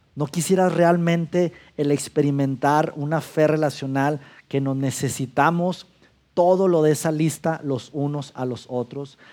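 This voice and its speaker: The tone is dark and mellow, with fairly even intonation. It is a very clean recording with a silent background. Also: man, fairly high pitch for a man, fairly slow pace. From Mexico, Durango. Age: 40s. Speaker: pastor. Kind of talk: sermon.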